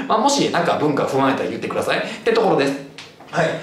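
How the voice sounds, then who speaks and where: A man talks in a room with audible echo. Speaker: cram school history teacher. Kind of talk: lecture. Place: classroom.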